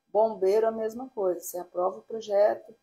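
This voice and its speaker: A woman's dark, mellow voice at a medium pitch. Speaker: architect teaching online course. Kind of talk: live stream lesson. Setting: live stream. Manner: hesitant, many fillers.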